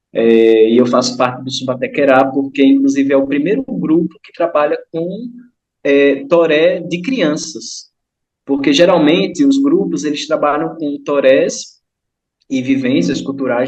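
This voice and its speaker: A man's normal speaking voice, fairly slow, with big swings in loudness. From Brazilian Northeast, Kariri-Xocó village on São Francisco river. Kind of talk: online group discussion.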